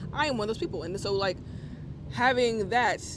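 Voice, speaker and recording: This man talks at a very fast pace. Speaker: rapper. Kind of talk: casual chat.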